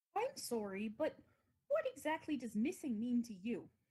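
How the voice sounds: A woman speaks in a put-on character voice. Her pitch sits high. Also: moderate pace.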